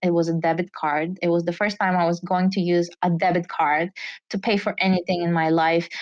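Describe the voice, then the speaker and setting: Talking at a fairly quick pace in a Bulgarian accent, a woman keeps a fairly low pitch, monotone, flat intonation and very even loudness. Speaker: entrepreneur. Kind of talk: interview storytelling.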